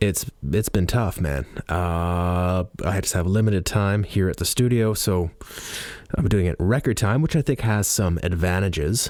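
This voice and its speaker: Speaking with a slight Canadian accent, a man has a very deep, low pitch, ordinary pitch variation and a moderate pace. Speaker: podcaster and audiobook narrator. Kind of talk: casual monologue. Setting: studio.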